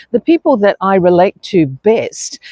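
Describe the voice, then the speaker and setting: Here a woman speaks with an Australian accent. Her pitch swings very widely. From New Zealand. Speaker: expat lifestyle vlogger. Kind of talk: casual vlog monologue. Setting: outdoors on a beach. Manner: conversational with frequent fillers.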